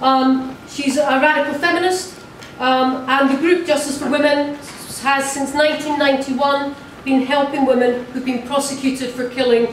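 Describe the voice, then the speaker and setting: A woman's high-pitched voice with audible room echo and light background noise. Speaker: event chair; speaker. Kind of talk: moderating a panel. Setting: hall with audience. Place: hall.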